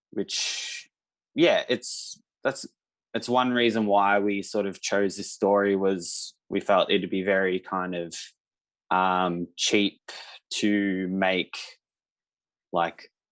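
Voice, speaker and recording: Over a quiet background, the speaker talks very slowly in an Australian accent, with fairly even intonation and long, frequent pauses. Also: man, fairly low pitch for a man. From Australia, Victoria. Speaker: filmmaker. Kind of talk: panel Q&A.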